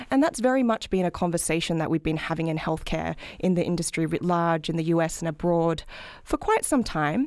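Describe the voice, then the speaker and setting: A woman speaks with an Australian accent in a fairly low pitch. Her pace is fairly quick, and her pitch varies in an ordinary way. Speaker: health policy researcher. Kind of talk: interview.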